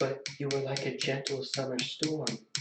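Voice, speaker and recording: With a slight echo, a man puts on a character voice at a medium pitch. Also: moderate pace. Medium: read story. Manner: quiet, with menace beneath the softness.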